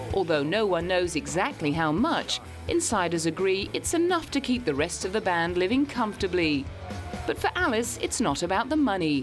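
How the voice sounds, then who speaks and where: A woman's medium-pitched voice with lively intonation, very even loudness and a moderate pace, over background music. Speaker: entertainment news narrator. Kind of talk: TV news narration.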